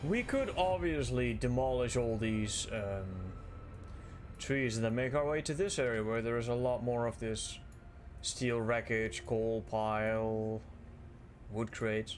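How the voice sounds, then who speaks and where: A man's voice at a fairly slow pace, very even in loudness, with audible room echo. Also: medium pitch for a man, ordinary pitch variation. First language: Dutch. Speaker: gaming streamer. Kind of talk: live gameplay commentary.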